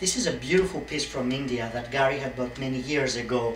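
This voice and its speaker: A man with a Greek accent speaks at a moderate pace and fairly high pitch with ordinary pitch variation, amid audible room echo and noticeable background noise. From Greece, Athens. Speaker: interior designer. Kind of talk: audition video with home tour. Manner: animated.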